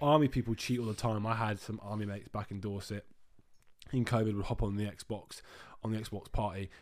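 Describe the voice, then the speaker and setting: A man speaks with a British accent. His pace is very fast. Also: very clean recording, silent background. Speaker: podcast co-host. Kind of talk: casual chat. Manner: animated.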